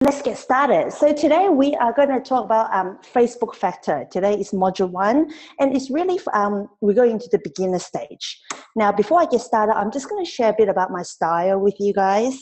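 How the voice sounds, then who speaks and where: A woman at a fairly high pitch and fairly quick pace, her intonation lively. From Hong Kong. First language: Cantonese. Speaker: direct sales trainer. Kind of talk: webinar training. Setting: online webinar. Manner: fast; animated.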